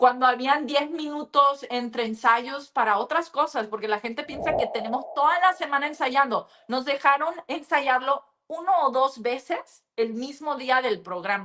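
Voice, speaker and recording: Raising and projecting her high-pitched voice, a woman speaks at a fairly slow pace with an animated, bright, sharp tone and ordinary pitch variation. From US, California (Los Angeles area). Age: 30s. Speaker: businesswoman, former reality show contestant. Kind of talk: interview.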